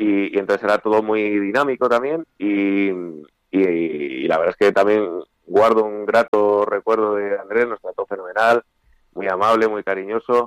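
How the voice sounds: A man talks at a moderate pace in a fairly low pitch with ordinary variation. His tone is clear and smooth, and the sound is dry and close with no echo.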